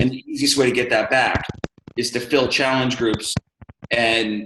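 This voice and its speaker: Here a man speaks in a medium pitch with fairly even intonation. His pace is moderate. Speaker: social media marketing coach. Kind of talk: casual group chat. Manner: loud; hesitant, many fillers.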